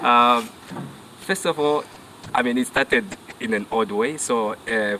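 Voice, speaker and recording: With noticeable background noise behind him, a man talks fairly slowly. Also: medium pitch for a man, ordinary pitch variation, very even loudness. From northern Namibia (Rundu). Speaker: safari guide. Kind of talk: casual interview chat. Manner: halting, many fillers.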